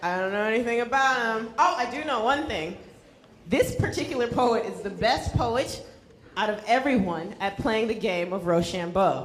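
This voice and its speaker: A woman speaks at a moderate pace with lively intonation and a fairly high pitch. Noticeable background noise runs under her voice. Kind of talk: event host introduction.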